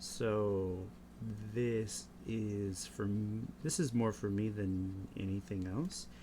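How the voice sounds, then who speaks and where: This man talks very slowly and softly in a fairly low voice. His pitch swings very widely. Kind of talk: casual talk to camera, rambling while drawing. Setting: close mic, home recording. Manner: soft-spoken, slow, rambling.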